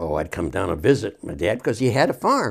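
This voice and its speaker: A man with an American accent, fairly low-pitched, with vocal fry and a fairly quick pace, on a very clean recording with a silent background. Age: 80s+. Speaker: elderly local resident. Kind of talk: oral history interview. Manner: halting.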